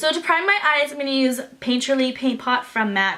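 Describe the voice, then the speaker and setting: Noticeable background noise sits behind a woman's voice. She speaks at a moderate pace with lively intonation. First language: not English. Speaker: beauty vlogger. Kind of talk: makeup tutorial. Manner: casual, chatty.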